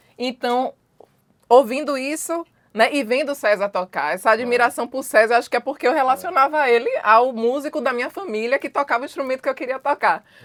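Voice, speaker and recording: At a fairly quick pace, a woman speaks in a high pitch with ordinary pitch variation, recorded dry and close with no echo. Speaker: musician and singer. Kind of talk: interview conversation.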